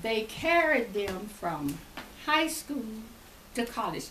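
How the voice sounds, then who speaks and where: With audible room echo and noticeable background noise, a woman speaks with very wide pitch swings. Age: 90s. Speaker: retired education professor. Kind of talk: interview.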